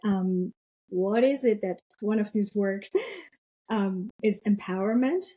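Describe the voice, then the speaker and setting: At a very slow pace, a woman with fairly high pitch, ordinary pitch variation and a somewhat breathy, dark, mellow tone speaks in a dry, close sound with no echo. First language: not English. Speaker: business agility leader and author. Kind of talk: interview podcast conversation.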